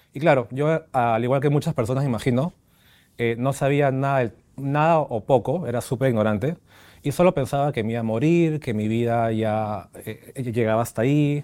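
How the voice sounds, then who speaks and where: In a normal speaking voice with ordinary pitch variation, the speaker goes at a moderate pace over a very clean recording with a silent background. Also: man, medium pitch for a man. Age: 30s. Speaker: HIV-positive patient. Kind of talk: interview testimony. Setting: studio with small audience.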